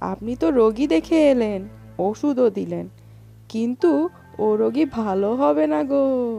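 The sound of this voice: Putting on a character voice, a fairly high-pitched woman speaks slowly with vocal fry, lively intonation and a dark, mellow tone while faint music plays in the background.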